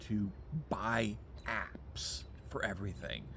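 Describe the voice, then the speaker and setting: A man speaks with vocal fry and very wide pitch swings, and the room echo is audible. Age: 60s. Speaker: atheist video blogger. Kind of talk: casual rant monologue. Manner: animated; halting.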